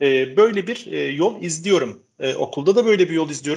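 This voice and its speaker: With lively intonation, a man talks at a fairly quick pace and a fairly high pitch. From Turkey, Istanbul. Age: 40s. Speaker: educational technology specialist. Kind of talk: casual interview. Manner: frequent hesitation fillers.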